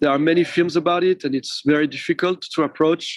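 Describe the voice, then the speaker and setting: Speaking at a moderate pace with a French accent, a man has a high pitch, and the sound is dry and close with no echo. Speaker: film director. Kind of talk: interview. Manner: halting.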